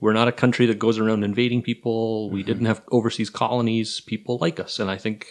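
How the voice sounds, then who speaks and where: A man at a medium pitch with a Canadian accent, monotone, flat intonation, a very fast pace and hardly any pauses. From Kingston, Ontario. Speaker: history professor. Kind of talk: casual chat. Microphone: too far from mic.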